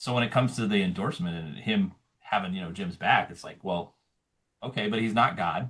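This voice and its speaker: An American-accented man with a fairly low pitch, lively intonation and a fairly quick pace. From Montana. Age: 40s. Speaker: political candidate. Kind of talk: interview.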